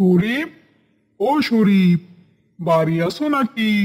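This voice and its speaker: A man's high, cartoonish character voice with lively intonation. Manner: curt, matter-of-fact.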